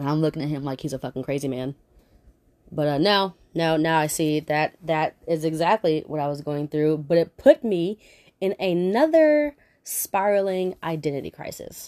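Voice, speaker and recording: With a very deep, low pitch and a dark, mellow tone, a woman talks at a moderate pace with ordinary pitch variation, in a very clean recording with a silent background and a dry, close sound with no echo. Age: 30s. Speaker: podcast host. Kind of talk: personal monologue. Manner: hesitant.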